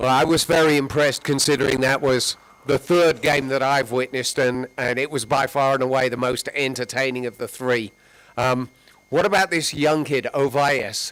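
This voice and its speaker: A man's fairly high voice in an English accent, with fairly even intonation. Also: moderate pace. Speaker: sports interviewer. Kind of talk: post-match interview.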